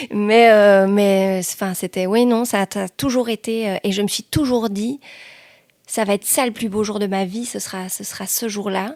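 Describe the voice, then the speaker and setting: Very slow speech with fairly even intonation and big swings in loudness, in a dry, close sound with no echo. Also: woman. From Belgium, Liège province (Hesbaye). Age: 40s. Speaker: journalist and TV/radio presenter. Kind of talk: podcast interview. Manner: hesitant, many fillers.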